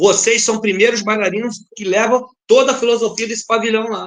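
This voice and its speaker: An animated man with a high pitch, talking at a fairly quick pace. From Brazil, Rio de Janeiro (Madureira). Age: 50s. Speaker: dancer and samba dance teacher. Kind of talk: interview conversation.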